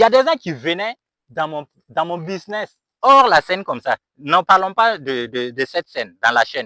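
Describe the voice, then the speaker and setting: Speaking with a Burkinabè accent, a man uses a high pitch, a bright, sharp tone and very wide pitch swings, on a very clean recording with a silent background and a dry, close sound with no echo. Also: moderate pace. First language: Mooré (speaking French). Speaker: YouTuber and dry-cleaning business owner. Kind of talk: motivational vlog. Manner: halting.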